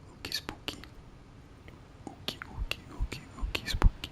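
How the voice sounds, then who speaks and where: Someone whispers in a relaxed tone at a moderate pace over noticeable background noise. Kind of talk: ASMR gameplay commentary. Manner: soft-spoken, relaxed.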